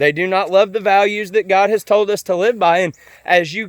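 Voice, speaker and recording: A man with an American accent talks at a high pitch and a moderate pace, with ordinary pitch variation. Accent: sounds like a hillbilly (self-described). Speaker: vlogger. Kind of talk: casual monologue. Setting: outdoors, on a walk. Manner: halting, repeated words.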